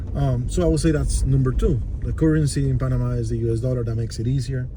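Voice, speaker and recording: In a Spanish accent, a man with a very deep, low pitch speaks very fast with lively intonation, amid audible room echo and noticeable background noise. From Costa Rica. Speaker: relocation consultant. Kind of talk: casual chat.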